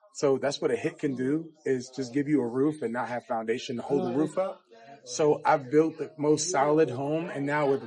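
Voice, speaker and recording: A man with a fairly high pitch, fairly even intonation and a moderate pace, over noticeable background noise. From Brooklyn, New York. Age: 30s. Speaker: rapper and country singer. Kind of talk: casual interview.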